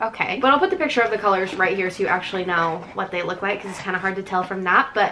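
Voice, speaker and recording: Over light background noise, a woman talks very fast with hardly any pauses and ordinary pitch variation. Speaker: lifestyle vlogger. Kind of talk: casual vlog chat. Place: home room. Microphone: camera far.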